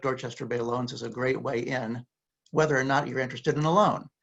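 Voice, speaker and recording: A man speaks at a medium pitch with ordinary pitch variation. There is vocal fry in his voice. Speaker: community lender representative. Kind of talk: panel discussion. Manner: fast.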